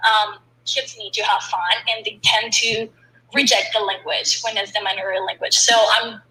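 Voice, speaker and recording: Noticeable background noise accompanies a woman talking at a moderate speed. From Colombia. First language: Spanish. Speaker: startup founder. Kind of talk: casual interview.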